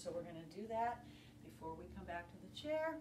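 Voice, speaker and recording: A woman is heard over noticeable background noise. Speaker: fitness instructor. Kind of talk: guided yoga class with calm step-by-step cues. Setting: home video workout. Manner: calm, soothing, instructive; steady, measured pacing with gentle encouragement. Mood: calm, encouraging. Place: home room. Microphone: camera far.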